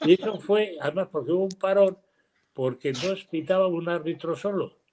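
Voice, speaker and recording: This man speaks in a high pitch. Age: 80s+. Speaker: basketball coach. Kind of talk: casual chat.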